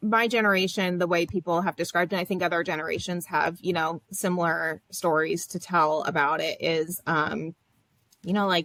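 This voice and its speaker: A woman with an American accent and a plain, everyday voice, fairly low-pitched, with fairly even intonation at a moderate pace, in dry, close sound with no echo. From US South, Florida. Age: 30s. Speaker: social work academic. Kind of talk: interview. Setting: studio.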